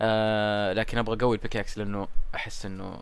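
The voice belongs to a man. He keeps a moderate pace in a space with audible room echo. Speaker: gaming YouTuber. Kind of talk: gameplay commentary. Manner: casual, chatty.

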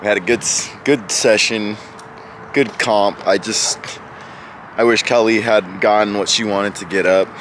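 Over noticeable background noise, a man with a fairly low pitch speaks at a fairly slow pace with fairly even intonation, the sound dry with no echo. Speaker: powerlifter vlogger. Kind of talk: casual vlog chat. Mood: proud but a bit unsettled. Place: street. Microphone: phone near.

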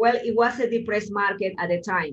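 A woman with a Spanish accent at a fairly quick pace, with fairly even intonation. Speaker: real estate agent. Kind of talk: interview in group coaching call. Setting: video call. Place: office. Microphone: video call.

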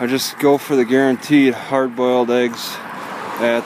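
A man at a fairly slow pace, dry sound with no echo, noticeable background noise throughout. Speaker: vlogger. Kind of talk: casual vlog chat. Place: street. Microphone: phone near.

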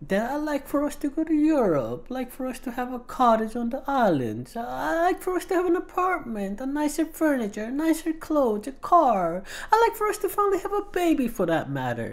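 A put-on character voice moves at a fairly quick pace with hardly any pauses over light background noise. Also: man, extremely high pitch for a man. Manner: defensive, pleading.

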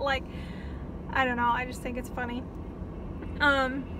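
Noticeable background noise sits under a raised, projected voice. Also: woman, dry sound with no echo. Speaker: vlogger. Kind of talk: casual vlog chat. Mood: excited, happy. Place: car. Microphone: phone near.

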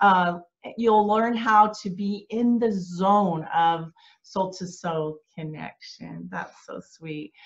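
The background stays quiet. The woman's intonation is fairly even. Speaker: conference host. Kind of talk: promotional welcome talk. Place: home room. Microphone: webcam.

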